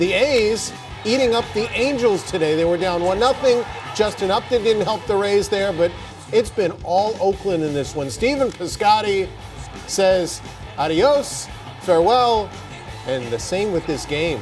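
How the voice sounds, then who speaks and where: Over music in the background, a man talks fairly slowly with lively intonation and a high pitch. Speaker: sports TV host. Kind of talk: sports broadcast hosting.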